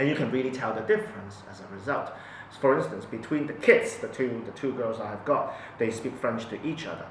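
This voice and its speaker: At a fairly quick pace, a man speaks with a medium pitch, lively intonation and big swings in loudness. Audible room echo and noticeable background noise are present. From Hong Kong. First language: Cantonese. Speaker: parent. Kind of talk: interview testimony. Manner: halting, many fillers and repetitions.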